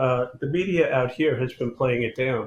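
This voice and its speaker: Here a man talks with a New York accent. He keeps a moderate pace and ordinary pitch variation. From New York City, the Bronx. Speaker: police chief. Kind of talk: political panel discussion.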